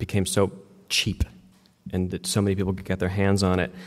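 This man has a plain, everyday voice at a fairly low pitch. He speaks fairly quickly. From West Virginia. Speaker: media company co-founder and workshop presenter; presenter. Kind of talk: workshop talk. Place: hall.

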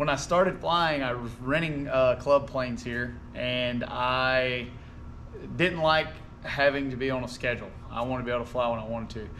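Light background noise sits under a man talking at a moderate pace with ordinary pitch variation. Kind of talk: casual vlog chat. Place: garage. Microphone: camera far.

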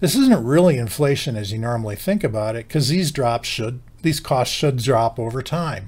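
Barely pausing, a man with an American accent talks with lively intonation and a somewhat breathy voice. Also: moderate pace. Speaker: company CEO and co-founder. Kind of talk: explainer video monologue. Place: office.

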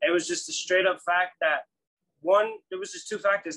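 Someone talks at a very fast pace over light background noise. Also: man. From Guinea, raised in New York. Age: young. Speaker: rapper and songwriter. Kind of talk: interview. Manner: halting, many fillers. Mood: relaxed, earnest. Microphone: video call.

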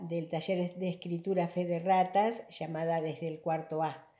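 A woman's fairly low, dark, mellow voice with fairly even intonation at a fairly slow pace, over a quiet background. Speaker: writer and presenter. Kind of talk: formal introduction of a guest. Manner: halting, hesitant with filler sounds. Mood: warm, smiling. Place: home room. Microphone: webcam.

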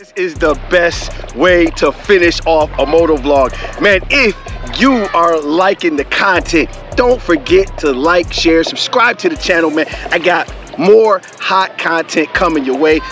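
Faint music plays in the background as a man speaks at a fairly slow pace, and the sound is dry with no echo. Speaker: motovlogger. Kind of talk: casual vlog chat. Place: waterside. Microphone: phone near.

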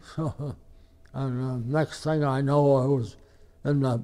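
Over a quiet background, someone with an American accent speaks at a moderate pace in a dark, mellow tone with fairly even intonation. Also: man. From Ohio. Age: 80s+. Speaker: war veteran. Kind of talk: interview. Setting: hospital. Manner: halting.

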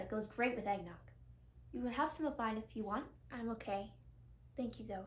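Ordinary pitch variation marks a woman speaking at a very fast pace. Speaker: actor in skit. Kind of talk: scripted dialogue. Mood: friendly, light. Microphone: headset.

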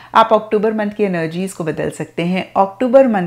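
A woman speaks at a fairly slow pace, the background quiet. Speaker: tarot reader. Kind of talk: tarot reading talk to viewers. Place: home room.

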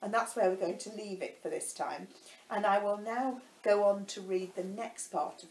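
With fairly even intonation, an unforced reading voice goes through the text.

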